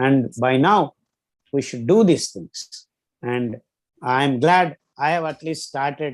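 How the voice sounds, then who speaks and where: A man talks at a very slow pace with a fairly high pitch. The recording is very clean, with a silent background. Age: 60s. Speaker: physician and diet expert. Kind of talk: interview.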